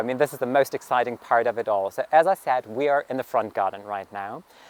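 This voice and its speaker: A medium-pitched man with a German accent at a fairly quick pace, in a dry, close sound with no echo. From Germany, rural farming community. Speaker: gardening vlogger. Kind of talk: garden tour vlog. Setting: outdoors in garden. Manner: casual, filler-heavy.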